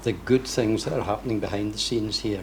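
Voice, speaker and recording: In a Scottish accent, a man talks with fairly low pitch and fairly even intonation. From west of Scotland. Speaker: event attendee. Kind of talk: personal testimony.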